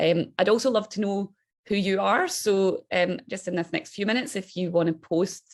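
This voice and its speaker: This is a woman speaking. She has a strong Scottish accent. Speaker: think tank director. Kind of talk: webinar presentation. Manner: fast when excited.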